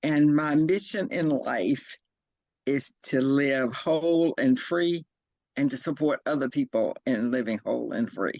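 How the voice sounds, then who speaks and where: The intonation is lively and the pace fairly slow, with a dry, close sound and no echo. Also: woman, very deep, low pitch for a woman. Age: 60s. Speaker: participant. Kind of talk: personal introduction.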